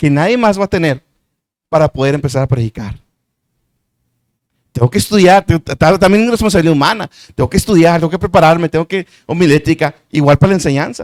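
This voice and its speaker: A man talks at a fairly quick pace in a high pitch with lively intonation. The sound is dry and close, with no echo. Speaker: preacher and Bible teacher. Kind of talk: sermon-style Bible teaching. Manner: fast.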